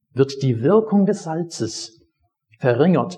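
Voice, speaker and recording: A man's very slow, somewhat breathy voice, dark and mellow in tone, with very wide pitch swings. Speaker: pastor. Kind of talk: sermon, teaching the congregation with a personal anecdote. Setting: church. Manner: conversational, storytelling, explaining the text step by step.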